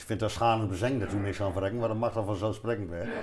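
Light background noise sits behind a man's voice. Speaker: musician. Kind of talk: casual conversation at a café table. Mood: amused, laughing. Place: cafe. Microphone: lapel.

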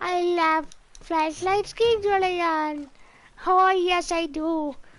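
Extremely high in pitch, a put-on character voice moves at a very slow pace.

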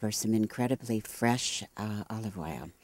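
A woman's dark, mellow voice at a fairly slow pace, dry with no echo. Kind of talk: interview answer. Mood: warm, proud, friendly. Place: garden. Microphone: handheld.

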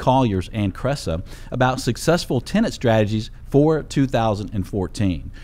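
A man is speaking. His intonation is lively. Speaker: show host. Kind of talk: radio show host introduction. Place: studio. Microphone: studio mic.

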